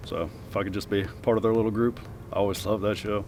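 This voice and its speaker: With music behind him, a man talks at a very fast pace. His fairly low voice stays flat and monotone. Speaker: harness racing driver and trainer. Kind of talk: interview Q&A. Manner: soft-spoken.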